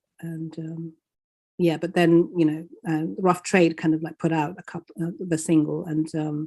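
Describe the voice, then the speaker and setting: A woman's fairly low voice with a dark, mellow tone, monotone, flat intonation and a fairly slow pace. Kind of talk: interview. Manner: halting.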